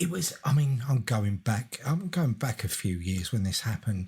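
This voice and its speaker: Noticeable background noise sits behind a man's voice. His pitch is medium, with very wide swings. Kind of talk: podcast co-host, casual conversation.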